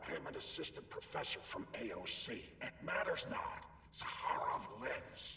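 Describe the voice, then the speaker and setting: A man puts on a character voice at an extremely high pitch, talking at a moderate pace over clear background noise. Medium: video game. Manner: insistent, conspiratorial.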